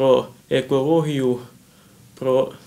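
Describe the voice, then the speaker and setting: A man's dark, mellow tone at a very slow pace. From Transcarpathia, Ukraine (Svaliava district); Ukraine. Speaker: young writer and poet; interview guest. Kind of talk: TV interview; interview answer. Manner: halting. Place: office.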